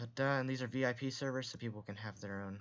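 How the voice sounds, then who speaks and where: A soft-spoken man at a moderate pace, with fairly even intonation. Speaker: game development streamer. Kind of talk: tutorial. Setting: live stream.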